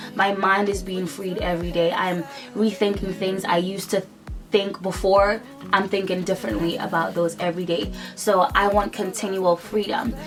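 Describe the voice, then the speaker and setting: Over music in the background, a woman talks at a moderate pace, medium pitch, and fairly even intonation. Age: 20s. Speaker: beauty vlogger. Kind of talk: casual talk to camera.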